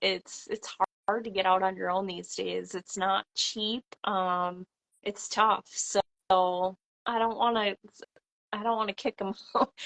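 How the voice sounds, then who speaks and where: With a Minnesota accent, a woman speaks fairly slowly in a bright, sharp tone and a flat monotone, leaving long, frequent pauses, in a dry, close sound with no echo. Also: medium pitch for a woman. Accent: Upper Midwest (Minnesota). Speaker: farmhouse renovator and vintage seller. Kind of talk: casual chat. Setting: live video call.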